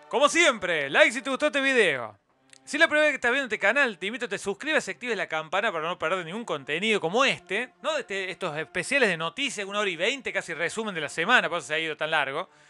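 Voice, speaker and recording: Loud and projected, a high-pitched man races along at a very fast pace with hardly any pauses, his tone bright and sharp and his pitch swinging very widely, recorded dry and close with no echo. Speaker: YouTube news commentator. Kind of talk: solo news roundup commentary. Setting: live stream with chat.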